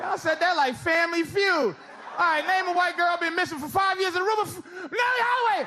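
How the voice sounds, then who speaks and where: A man with an American accent and extremely high pitch raises and projects his voice, with ordinary pitch variation, over noticeable background noise. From United States. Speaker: stand-up comedian. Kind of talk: live stand-up comedy set. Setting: live audience venue.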